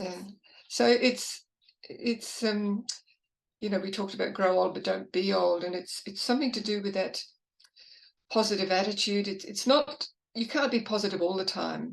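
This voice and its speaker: The speaker has vocal fry and leaves long, frequent pauses. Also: woman, medium pitch for a woman, ordinary pitch variation, moderate pace. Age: 80s+. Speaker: psychologist and author. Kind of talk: interview conversation. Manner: halting.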